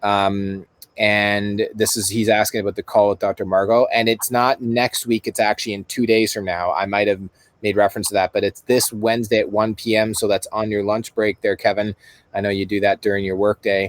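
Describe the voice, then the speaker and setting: Dry and close with no echo, a man with a Canadian accent talks at a fairly quick pace in a fairly low pitch with monotone, flat intonation. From Canada. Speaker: summit host. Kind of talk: live webinar chat. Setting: live online call.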